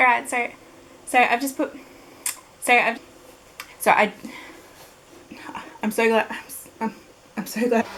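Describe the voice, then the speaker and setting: Over noticeable background noise, a woman with an Australian accent and a fairly high pitch speaks at a moderate pace with fairly even intonation and long, frequent pauses. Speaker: beauty vlogger. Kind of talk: casual talk to camera. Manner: stuttering, hesitant.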